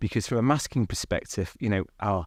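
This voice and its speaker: A man in a Mancunian accent talks at a very fast pace, fairly low in pitch with ordinary pitch variation. The sound is dry and close with no echo, on a very clean recording with a silent background. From Manchester, northern England. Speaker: university IT executive. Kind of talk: conversational interview. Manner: hesitant, many fillers.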